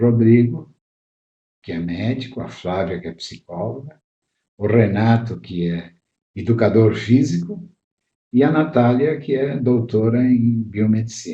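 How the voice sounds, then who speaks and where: With a dark, mellow, somewhat breathy tone, a man speaks at a fairly slow pace with ordinary pitch variation and long, frequent pauses. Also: medium pitch for a man. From southern Brazil, Caxias do Sul area (Rio Grande do Sul). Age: 70s. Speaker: pediatrician. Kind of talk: interview. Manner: halting, with fillers.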